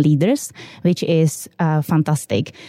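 The voice has a dark, mellow tone. It carries a Czech accent. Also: woman. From Czech Republic. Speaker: quality systems manager. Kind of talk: interview.

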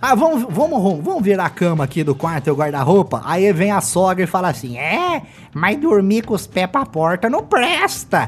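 The voice swings very widely in pitch at a moderate pace, with hardly any pauses. Music plays in the background. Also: man, high pitch for a man. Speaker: podcast host. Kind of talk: casual comedic chat.

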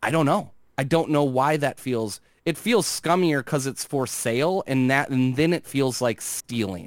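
With an unremarkable speaking voice, a man talks at a fairly slow pace with ordinary pitch variation on a very clean recording with a silent background. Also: fairly high pitch for a man. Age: 40s. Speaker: gaming commentator on social media. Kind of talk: casual chat.

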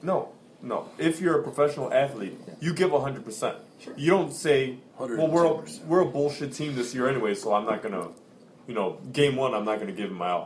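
A man with a fairly high pitch and vocal fry talks at a fairly quick pace. His intonation is lively, with big swings in loudness. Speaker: podcast guest. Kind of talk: casual chat. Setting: home recording with guests.

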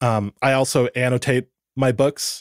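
A man with an American accent talks very slowly at a medium pitch. The sound is dry and close, with no echo. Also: very clean recording, silent background. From Southern California (Santa Barbara area). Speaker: golf course architecture writer. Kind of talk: podcast interview.

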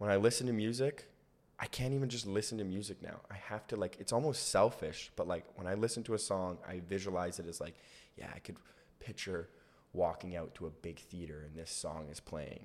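At a fairly quick pace, a man with a Canadian accent speaks in a normal speaking voice, fairly low in pitch with ordinary pitch variation and big swings in loudness, on a very clean recording with a silent background. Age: 30s. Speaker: comedian. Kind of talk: casual chat.

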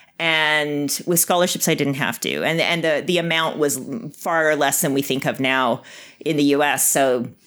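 A woman speaks at a moderate pace in a very deep, low voice with ordinary pitch variation, on a very clean recording with a silent background. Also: very even loudness. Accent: slight Canadian. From Canada, Winnipeg. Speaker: biotech executive. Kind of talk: interview.

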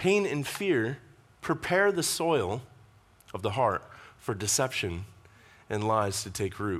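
Speaking fairly slowly with long, frequent pauses, a man at a medium pitch swings his pitch very widely. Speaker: pastor. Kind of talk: sermon.

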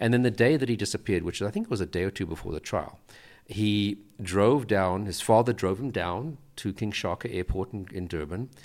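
Very fast speech from a man, fairly low in pitch, with ordinary pitch variation. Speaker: former police profiler. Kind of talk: casual chat.

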